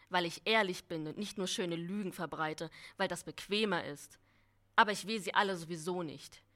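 A woman speaks in a bright, sharp tone. Her intonation stays fairly even. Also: moderate pace, very clean recording, silent background. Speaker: writing competition participant. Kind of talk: reading aloud. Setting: stage with audience.

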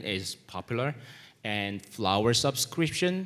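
The voice moves at a very slow pace in a Korean accent. Its intonation is lively. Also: man. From South Korea. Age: 40s. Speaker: media content strategist. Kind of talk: conference presentation. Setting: stage with audience.

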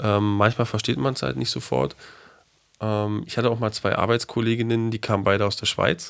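In a very clean recording with a silent background, a man with a fairly low pitch talks at a fairly quick pace. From Berlin. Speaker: podcast co-host. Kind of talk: casual chat.

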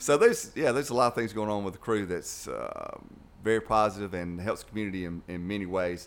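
A man at a very fast pace, fairly low in pitch, with ordinary pitch variation. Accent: Alabama. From US South, Dothan, Alabama. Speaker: youth club director. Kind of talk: casual chat. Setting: studio.

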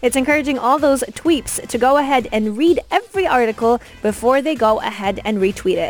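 An upbeat, energetic tone comes through over music in the background. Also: woman. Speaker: radio host. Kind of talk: radio DJ patter, tech news chat. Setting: radio studio. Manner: upbeat, polished, energetic.

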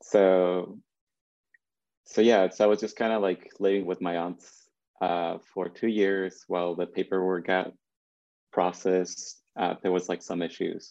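Against a quiet background, a man with a Spanish accent speaks fairly slowly in a very deep, low, dark and mellow voice, flat and monotone, with long, frequent pauses. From Mexico (Jalisco, near Lake Chapala). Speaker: conceptual artist. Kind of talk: casual interview. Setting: video call. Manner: hesitant, many fillers.

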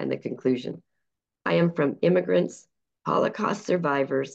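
The woman's very deep, low voice has vocal fry and very wide pitch swings. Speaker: poet. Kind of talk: reading aloud.

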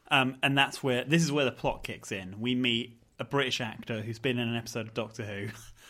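Speaking at a fairly quick pace with hardly any pauses, a man with an East Anglian accent holds a medium pitch and fairly even intonation. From Norwich, England. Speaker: horror film podcast host. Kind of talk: casual chat.

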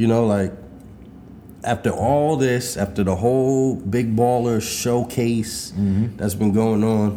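A man with a New York accent has a dark, mellow tone at a medium pitch. He speaks at a fairly slow pace with fairly even intonation. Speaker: podcast co-host. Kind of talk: casual chat.

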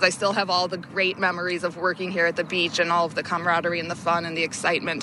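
Through noticeable background noise comes a woman's fairly low voice with an American accent. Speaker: former lifeguard. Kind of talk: testimony. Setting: outdoors.

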